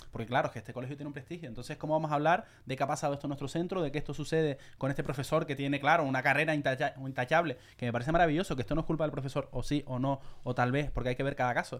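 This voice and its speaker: A man talks at a very fast pace. He has a Canarian accent. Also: fairly high pitch for a man, hardly any pauses. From Canary Islands. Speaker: podcast host. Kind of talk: casual chat. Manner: animated.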